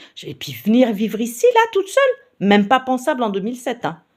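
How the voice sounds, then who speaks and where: Speaking at a fairly quick pace with vocal fry and very wide pitch swings, a woman is heard in a very clean recording with a silent background. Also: big swings in loudness. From Paris region, France. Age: 60s. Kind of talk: personal testimony. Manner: hesitant, many fillers.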